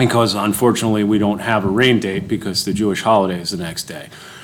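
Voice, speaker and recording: A man talks at a very fast pace with a fairly low pitch and ordinary pitch variation. Noticeable background noise and audible room echo surround him. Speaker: township official. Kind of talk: public meeting report.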